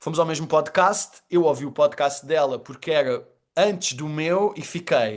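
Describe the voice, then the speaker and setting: The delivery is fairly slow, with ordinary pitch variation. The background is quiet. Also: man, fairly high pitch for a man. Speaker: storytelling trainer and communicator. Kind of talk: podcast interview. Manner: animated.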